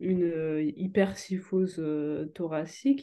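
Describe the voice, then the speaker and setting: A woman talks very slowly with fairly even intonation. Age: 20s. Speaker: psychomotor therapy student and yoga practitioner. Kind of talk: interview. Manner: hesitant, many fillers.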